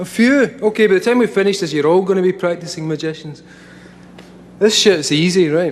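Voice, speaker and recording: With a Scottish accent, a man talks at a fairly quick pace with lively intonation over noticeable background noise. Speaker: speaker addressing a live audience, comic writer. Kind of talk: informal. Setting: stage. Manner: casual, profane, conversational.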